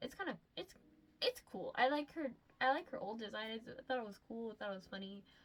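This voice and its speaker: At a fairly quick pace, a woman speaks in a fairly high pitch, with very wide pitch swings and big swings in loudness. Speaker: commentary youtuber. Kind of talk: casual commentary. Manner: stuttering, many ums and likes.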